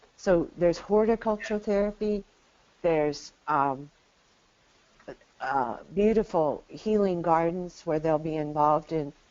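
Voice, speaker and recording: A woman with an American accent, a plain, everyday voice, fairly low in pitch, ordinary pitch variation, fairly slow pace. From Arizona, US Southwest. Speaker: equine therapy pioneer. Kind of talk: interview.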